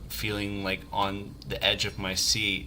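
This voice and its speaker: This is a man's voice. Audible room echo surrounds it. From US South. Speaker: game designer streamer. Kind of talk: let's play livestream commentary. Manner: casual, hesitant with fillers.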